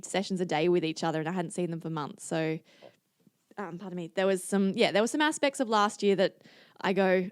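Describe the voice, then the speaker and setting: A woman talks at a fairly quick pace and medium pitch with ordinary pitch variation. The sound is dry and close, with no echo. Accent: Australian. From Singapore and Adelaide, Australia. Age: 20s. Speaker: Olympic kayaker and physiotherapist. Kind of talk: podcast interview. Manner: casual, hesitant with fillers.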